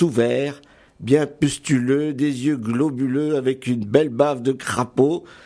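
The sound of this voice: An unforced reading voice carries the recording.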